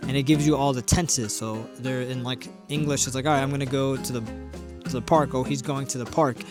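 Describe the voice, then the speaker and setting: With music in the background, a man speaks at a very fast pace, medium pitch and ordinary pitch variation. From Puerto Rican heritage, grew up not speaking Spanish. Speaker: language learner. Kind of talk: casual talk to camera. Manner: hesitant, rambling.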